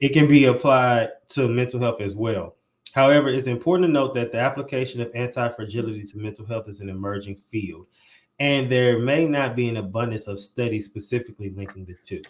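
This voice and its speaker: The speaker has a normal speaking voice with an American accent and ordinary pitch variation. The pace is fairly quick, and the loudness takes big swings. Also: man, medium pitch for a man. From St. Louis, Missouri. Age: 20s. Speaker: podcast host. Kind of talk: podcast interview; reading aloud.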